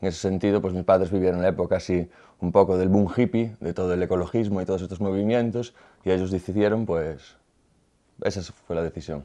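Against a quiet background, a man with a very deep, low pitch and dark, mellow tone talks at a very fast pace with fairly even intonation. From Galicia, Spain (Boiro); Galicia, Spain. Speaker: visual artist; interviewee. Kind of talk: interview; interview answer. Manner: halting, with repetitions. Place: studio.

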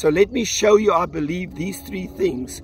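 A man's voice comes through dry, with no echo. Light noise sits in the background. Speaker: pastor. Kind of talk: sermon. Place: waterside.

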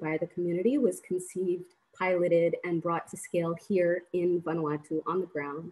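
A woman's fairly low pitch and dark, mellow tone at a moderate pace. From Rwanda and USA. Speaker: humanitarian aid worker; webinar panelist. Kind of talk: panel presentation. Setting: video call. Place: home room. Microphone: video call.

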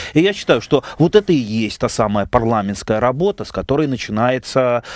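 Against a quiet background, a man talks with lively intonation in a dry sound with no echo. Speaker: member of parliament. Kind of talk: radio talk show interview. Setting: radio studio. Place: studio. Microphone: headset.

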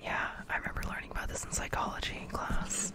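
Fairly quick whispering over loud background noise. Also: woman. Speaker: reader. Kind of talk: reading a textbook aloud with brief asides. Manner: intimate whispered aside. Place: home room. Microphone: studio mic.

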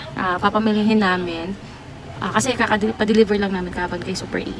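Noticeable background noise sits behind a woman speaking at medium pitch with fairly even intonation. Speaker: sari-sari store owner vlogger. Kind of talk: casual vlog narration.

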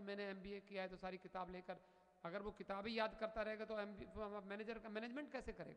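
Against a quiet background, a man talks at a high pitch. His tone is bright and sharp. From northern India. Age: 50s. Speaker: spiritual teacher. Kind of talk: sermon. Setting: temple. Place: hall. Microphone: studio mic.

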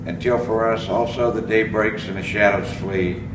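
A man speaks at a moderate pace amid noticeable background noise. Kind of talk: funeral prayer and eulogy reading. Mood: solemn, measured. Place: street. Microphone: camera far.

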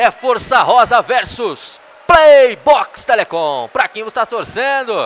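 A man's voice of extremely high pitch at a very slow pace. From Brazil. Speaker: futsal play-by-play announcer. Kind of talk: live sports commentary. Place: hall.

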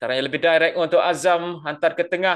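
In a Malaysian accent, a raised, projected voice with a bright, sharp tone rings out over a quiet background. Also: man. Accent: Malaysian Malay. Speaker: football commentator. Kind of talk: live sports commentary. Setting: stadium commentary broadcast. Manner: builds excitement on chances and goals.

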